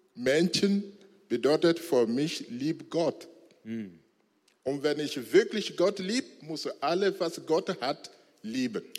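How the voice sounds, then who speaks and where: A man speaks very slowly with a non-native accent, his pitch fairly high. His intonation is lively, broken by long, frequent pauses. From Togo. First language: not German (speaking German). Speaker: former imam, church member. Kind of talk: church interview testimony. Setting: church stage with congregation. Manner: halting, broken German.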